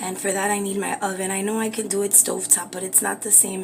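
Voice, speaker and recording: A woman whispering at a moderate pace amid noticeable background noise. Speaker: beauty and craft livestreamer. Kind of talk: live cooking stream.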